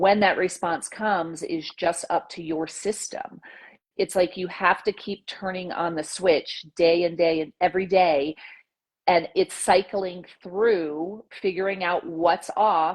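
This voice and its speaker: A woman with a plain, everyday voice speaks fairly slowly with fairly even intonation against a quiet background. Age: 40s. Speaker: nurse practitioner. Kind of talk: casual interview chat.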